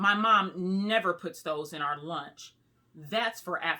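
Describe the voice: The speaker reads the text plainly aloud.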